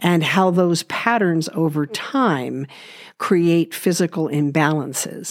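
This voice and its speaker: A woman talks with a West Coast US accent, her pitch fairly low with ordinary variation. The recording is very clean, with a silent background. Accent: General American (West Coast). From Los Angeles, US. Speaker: podcast host, natural healing. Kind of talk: personal monologue.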